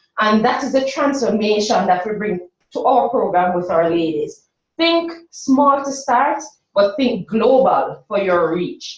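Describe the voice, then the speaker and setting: A woman with a Jamaican accent speaks at a high pitch with very wide pitch swings. Her pace is fairly slow. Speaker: workshop presenter for a women's business program. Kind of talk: presentation.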